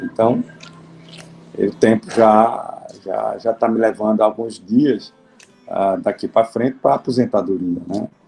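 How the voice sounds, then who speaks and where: Music plays in the background while a man speaks at a medium pitch and a fairly slow pace. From Alagoas, Brazil. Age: 60s. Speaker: judge. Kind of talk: interview. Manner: halting.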